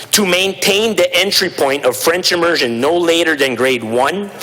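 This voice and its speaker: Lively intonation in a man's fairly high voice, with noticeable background noise. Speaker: provincial legislator. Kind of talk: legislative debate speech. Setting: legislative chamber. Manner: halting, repeats words.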